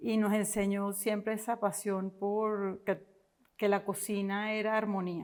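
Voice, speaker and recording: A woman's medium-pitched voice, fairly slow, monotone and flat, with very even loudness. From Venezuela, Caracas. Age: 50s. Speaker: entrepreneur. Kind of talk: interview.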